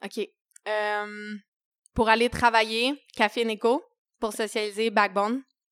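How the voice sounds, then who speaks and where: A Quebec accent in a dry, close sound with no echo. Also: woman. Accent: Québécois French. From Quebec, Eastern Townships (Saint-Césaire). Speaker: chef and restaurant owner. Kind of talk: casual interview.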